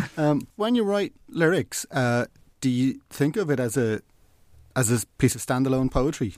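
Lively intonation in an Irish accent, at a moderate pace with very even loudness. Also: man, medium pitch for a man. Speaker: podcast host. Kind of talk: casual chat.

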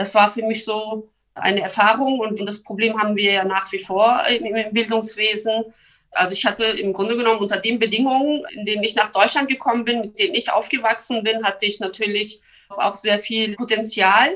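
Her pitch fairly high, a woman speaks at a moderate pace in a bright, sharp tone. Her intonation stays fairly even. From born in Turkey, grew up in Lower Saxony, Germany. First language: Turkish and Kurdish (speaking German). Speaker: member of parliament. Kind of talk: interview. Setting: video call. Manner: hesitant with fillers.

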